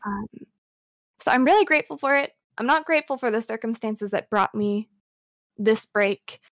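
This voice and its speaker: A woman talks at a moderate pace with a fairly high pitch, lively intonation and long, frequent pauses. The recording is dry and close with no echo. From US, moved around (Virginia, Nevada, California). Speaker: streamer. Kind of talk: casual chat. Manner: soft-spoken.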